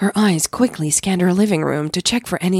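On a very clean recording with a silent background, a woman talks at a fairly quick pace in a fairly low, slightly mellow voice with a slightly husky edge and ordinary pitch variation.

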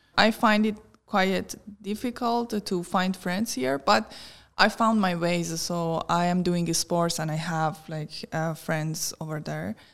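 Speaking at a very slow pace, a woman with a fairly low pitch and ordinary pitch variation is heard in a very clean recording against a silent background. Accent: Persian. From Iran. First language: Persian. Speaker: tech worker and podcaster. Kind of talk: interview.

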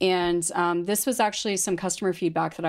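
In a Canadian accent, a woman speaks in a plain, everyday voice, fairly low in pitch with ordinary pitch variation, on a very clean recording with a silent background. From London, Ontario, Canada. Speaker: founder of a bakery and energy bar company. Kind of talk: interview.

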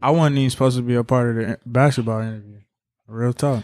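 Captured on a very clean recording with a silent background, the voice moves at a very fast pace. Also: man. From Chicago. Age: 20s. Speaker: podcast host. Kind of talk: casual chat. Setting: studio.

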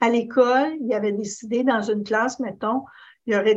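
Over a quiet background, a woman with a Quebec accent speaks at a fairly high pitch with fairly even intonation. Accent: Québécois French. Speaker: advocacy policy officer. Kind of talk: panel discussion.

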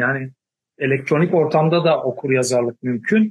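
The voice has ordinary pitch variation over a quiet background. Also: man. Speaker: professor. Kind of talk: panel discussion.

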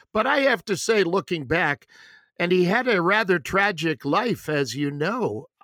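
On a very clean recording with a silent background, a man speaks at a fairly slow pace in a high, bright, sharp voice with very wide pitch swings. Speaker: podcast host. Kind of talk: interview, casual chat.

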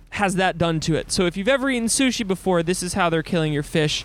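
A man talks with lively intonation on a very clean recording with a silent background. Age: 20s. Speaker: podcast host, sailor. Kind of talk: solo podcast monologue. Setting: aboard a sailboat at sea. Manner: casual.

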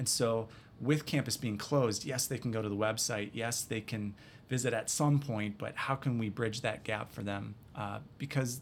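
Speaking at a fairly quick pace, a man with an American accent keeps a fairly low pitch and fairly even intonation. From US Midwest, north central Wisconsin. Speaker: college admissions director. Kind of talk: interview.

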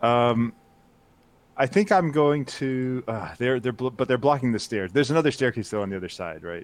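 An ordinary speaking voice belongs to this man, who speaks at medium pitch. His moderate pace comes with lively intonation. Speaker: player in tabletop game. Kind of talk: casual tabletop roleplaying.

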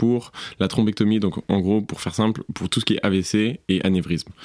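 A man's voice at a moderate pace. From southern France. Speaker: coffee shop manager. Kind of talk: casual interview. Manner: casual with many fillers.

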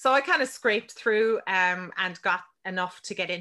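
Against a quiet background, a woman with an Irish accent speaks at a moderate pace in a bright, sharp tone with lively intonation. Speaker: business mentor and podcaster. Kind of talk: casual interview.

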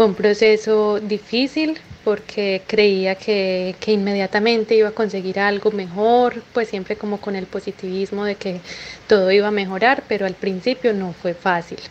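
Fairly slow and fairly even in intonation, a woman speaks in an unremarkable speaking voice at a medium pitch. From Colombia. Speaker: caller. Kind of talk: recorded voice message.

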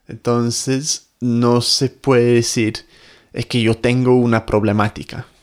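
A man's medium-pitched voice in an English accent, very slow and monotone, flat in intonation, in a very clean recording with a silent background. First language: English (speaking Spanish). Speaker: podcast host, language teacher. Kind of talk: casual chat; scripted intro.

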